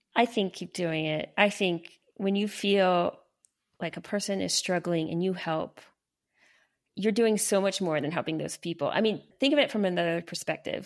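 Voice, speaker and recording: Against a silent background in a very clean recording, a woman talks at a moderate pace and medium pitch with ordinary pitch variation. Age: 40s. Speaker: journalist and parenting author. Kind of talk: casual interview.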